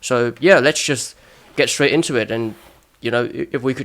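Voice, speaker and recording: At a fairly quick pace, a man with a British accent speaks in a medium pitch. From Hong Kong. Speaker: podcast host, medical student. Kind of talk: casual interview.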